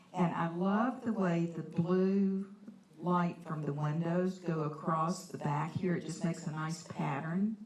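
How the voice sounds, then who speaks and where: Over noticeable background noise, a woman with a fairly low pitch speaks at a fairly slow pace with fairly even intonation. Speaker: watercolor artist giving a painting demo. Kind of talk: live art demonstration. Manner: loud.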